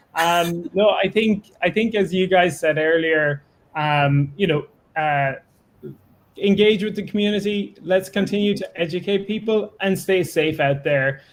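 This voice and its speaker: A man with an Irish accent speaks at a high pitch with ordinary pitch variation. He keeps a fairly slow pace. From Ireland. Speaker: crypto staking company executive. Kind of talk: live community call interview. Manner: halting, many fillers.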